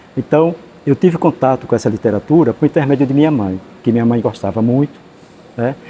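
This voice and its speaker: A man with a medium pitch talks at a fairly quick pace, with long, frequent pauses. Noticeable background noise runs underneath. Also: ordinary pitch variation. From Sergipe, Brazil (Malhador, rural interior). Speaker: writer and teacher. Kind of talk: interview. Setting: library.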